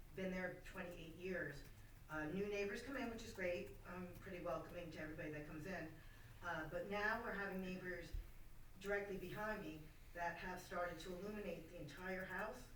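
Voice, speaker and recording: A woman speaks at medium pitch and a fairly quick pace with fairly even intonation. Noticeable background noise and audible room echo surround her voice. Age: 60s. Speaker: resident making public comment. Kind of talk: public comment at a meeting. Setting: township board meeting room. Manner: loud; halting.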